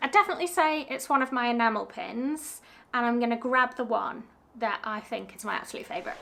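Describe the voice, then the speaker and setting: A woman with a high voice talks at a very fast pace, her intonation lively. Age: 30s. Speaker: small business owner and vlogger. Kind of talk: casual Q&A vlog. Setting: home studio.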